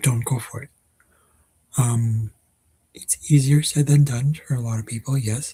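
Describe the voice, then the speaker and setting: A man's dark, mellow, medium-pitched voice moves at a moderate pace with fairly even intonation. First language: not Dutch (learner of Dutch). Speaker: vlogger. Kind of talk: casual vlog monologue. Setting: at home. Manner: hesitant, many fillers.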